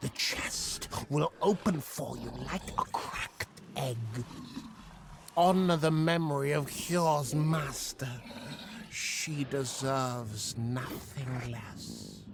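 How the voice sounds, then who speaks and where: Over clear background noise, a man does a put-on character voice at a fairly high pitch and a very slow pace. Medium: video game.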